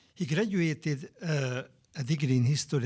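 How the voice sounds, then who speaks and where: In a Hungarian accent, a man speaks with a dark, mellow tone, somewhat breathy, and with lively intonation. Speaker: historian. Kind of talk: panel talk. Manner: halting; formal.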